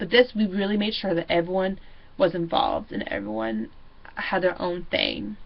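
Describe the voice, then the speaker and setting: Vocal fry runs through this woman's speech. Her pitch sits in the medium range. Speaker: student teacher. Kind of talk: video reflection monologue. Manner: loud; animated.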